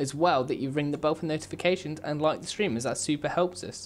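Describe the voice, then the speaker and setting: A man in a British accent, fairly high in pitch, at a fairly quick pace. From England. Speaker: video game streamer. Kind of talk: live game stream chat. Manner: casual, rambling with fillers.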